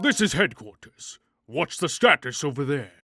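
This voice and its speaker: A man's put-on character voice, fairly high-pitched with very wide pitch swings, at a moderate pace, dry and close with no echo. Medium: fan dub. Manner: brisk, official.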